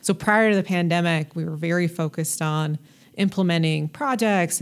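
A woman talks at a moderate pace with a General American accent, using a normal speaking voice. Her pitch sits fairly low, with ordinary pitch variation. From US, Colorado (North Denver). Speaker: state health technology official. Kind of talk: interview.

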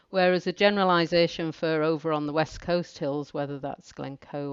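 Speaking in a northern English accent, a woman with a very deep, low pitch keeps a moderate pace and fairly even intonation. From northern England. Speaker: mountain instructor. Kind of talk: casual interview chat.

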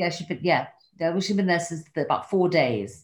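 On a very clean recording with a silent background, a woman with an English accent speaks at a fairly low pitch. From England. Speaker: podcast host sharing her diary. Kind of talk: reading aloud from a diary.

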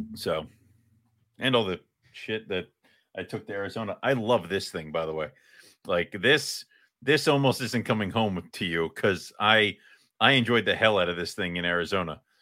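On a very clean recording with a silent background, a man with a fairly low pitch and a bright, sharp tone speaks at a moderate pace with lively intonation and long, frequent pauses. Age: 30s. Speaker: co-host of a reptile hobby podcast. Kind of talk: casual chat.

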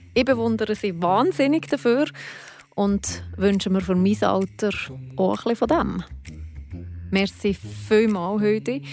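A woman at a very slow pace, with long, frequent pauses and very even loudness, over music in the background. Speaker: podcast host. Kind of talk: casual interview. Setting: at the guest's home.

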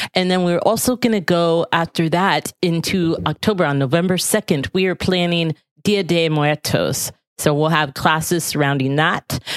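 Using an unremarkable speaking voice, a woman with an American accent talks at a moderate pace, fairly low in pitch, with ordinary pitch variation and very even loudness. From US South. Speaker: podcast host. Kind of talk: casual interview; promotional announcement.

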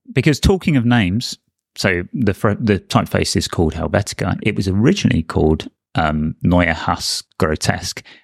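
A man with an unremarkable speaking voice talks at a moderate pace and fairly low pitch, with lively intonation and very even loudness. The sound is dry and close with no echo, in a very clean recording with a silent background. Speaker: designer, podcast co-host. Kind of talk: casual chat.

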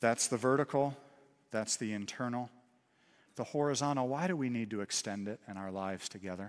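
At a fairly quick pace, a man talks in a normal speaking voice of medium pitch with ordinary pitch variation. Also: very clean recording, silent background. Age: 30s. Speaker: pastor. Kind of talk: sermon. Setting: church.

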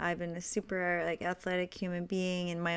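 On a very clean recording with a silent background, a woman with a fairly low pitch speaks at a moderate pace. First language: French. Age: 40s. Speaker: podcast host, wellness advocate. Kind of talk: solo monologue podcast.

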